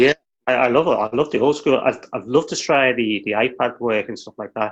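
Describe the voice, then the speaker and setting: Speaking with an English accent, a man keeps a medium pitch with ordinary variation at a fairly quick pace. His volume rises and falls a lot. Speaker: illustrator. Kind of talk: interview answer. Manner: humble.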